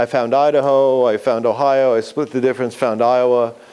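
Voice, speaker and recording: A man with a New York accent talks at a moderate pace against noticeable background noise. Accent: New York accent, still present. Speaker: writing instructor. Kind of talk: lecture.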